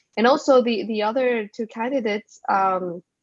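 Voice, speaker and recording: The speaker is a woman with a Spanish accent. She talks at a moderate pace. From Mexico. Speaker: business school co-founder. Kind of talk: casual chat.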